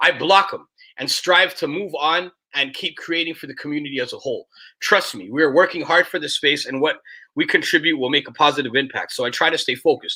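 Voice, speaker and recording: Very clean and silent in the background, this recording features a man with a passionate, bright, sharp tone. He talks at a very fast pace, fairly high in pitch, with ordinary pitch variation. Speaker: podcast host. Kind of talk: reading aloud. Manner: loud, passionate.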